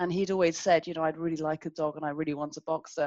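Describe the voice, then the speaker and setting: A woman's fairly low-pitched voice at a very fast pace, with a dry, close sound and no echo. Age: 50s. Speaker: business consultant. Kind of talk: interview.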